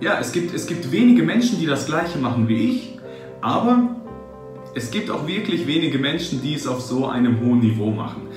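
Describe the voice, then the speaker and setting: A man's fairly high voice with very wide pitch swings at a moderate pace, audible room echo, and clear music in the background. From Germany. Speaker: translator, interpreter, voice actor, German teacher. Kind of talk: interview answer. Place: office.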